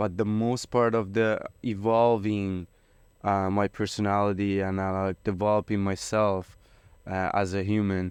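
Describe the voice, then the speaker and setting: In an Iranian accent, the speaker goes at a fairly slow pace with monotone, flat intonation on a very clean recording with a silent background. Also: man, fairly low pitch for a man. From Iran, Tehran. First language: Farsi. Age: 30s. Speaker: rapper. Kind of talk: casual interview. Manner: halting, many fillers.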